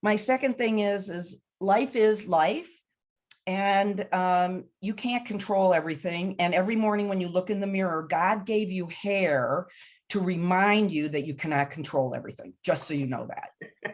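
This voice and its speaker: An unremarkable speaking voice moves at a moderate pace with ordinary pitch variation. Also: woman, medium pitch for a woman. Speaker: panelist. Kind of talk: panel webinar discussion.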